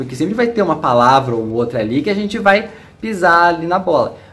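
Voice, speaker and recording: The voice swings very widely in pitch at a fairly quick pace, with noticeable background noise behind it. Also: man. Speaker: English teacher. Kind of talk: casual talk to camera.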